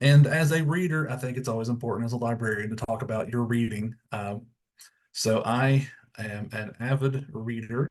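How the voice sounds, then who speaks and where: Delivery comes at a moderate pace with ordinary pitch variation. The speaker has a strong Tennessee accent. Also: man, medium pitch for a man. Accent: thick Tennessee. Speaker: school librarian. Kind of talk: webinar presentation.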